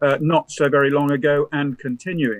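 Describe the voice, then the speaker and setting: A man speaks with a British accent at a fairly high pitch. He talks at a very fast pace. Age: 70s. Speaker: professor and former naval officer. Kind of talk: lecture. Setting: remote presentation to conference. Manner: halting, with frequent fillers.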